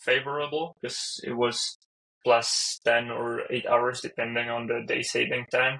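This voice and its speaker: A man with a Czech accent, medium pitch, a bright, sharp tone and a fairly slow pace. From Czech Republic. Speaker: software engineer. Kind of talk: casual chat.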